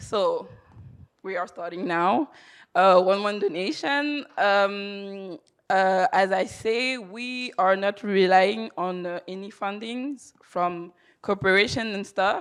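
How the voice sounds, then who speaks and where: Very slow female speech at a medium pitch with ordinary pitch variation, on a very clean recording with a silent background. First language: not English. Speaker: charity fundraiser. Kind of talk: conference presentation. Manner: halting.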